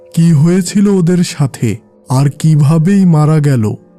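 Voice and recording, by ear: A man performs a cartoonish character voice at a fairly slow pace and fairly high pitch. Faint music plays in the background.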